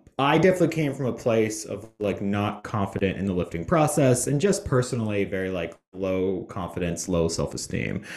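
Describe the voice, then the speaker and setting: Against a silent background in a very clean recording, a man speaks at a moderate pace with very wide pitch swings. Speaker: online strength coach. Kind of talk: casual interview. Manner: casual, filler-heavy.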